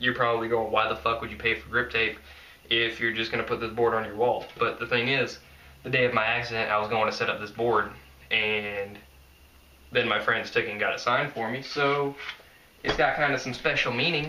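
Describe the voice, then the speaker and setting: Speaking with an American accent, a man keeps a fairly quick pace and fairly even intonation. Noticeable background noise and audible room echo are present. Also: medium pitch for a man. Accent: Southern US, redneck-sounding. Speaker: skateboarding vlogger. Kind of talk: casual vlog monologue. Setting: filmed at home by girlfriend.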